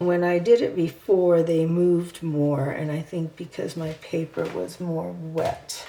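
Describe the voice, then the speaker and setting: The speaker mumbles with hardly any pauses and ordinary pitch variation. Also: woman, fairly low pitch for a woman, fairly slow pace. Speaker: art teacher. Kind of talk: painting tutorial. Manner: mumbling; hesitant, thinking aloud.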